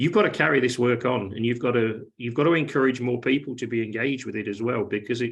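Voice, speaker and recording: The delivery has a British accent and a very fast pace. There are hardly any pauses. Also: man, medium pitch for a man. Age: 60s. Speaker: event host. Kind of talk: casual chat. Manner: animated, repeats words.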